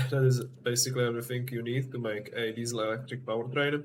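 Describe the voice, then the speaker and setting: A man speaks at a medium pitch, somewhat breathy, with a non-native accent. His intonation stays monotone and flat. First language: not English. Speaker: game vehicle builder. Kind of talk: game tutorial explanation. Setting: low-quality home microphone.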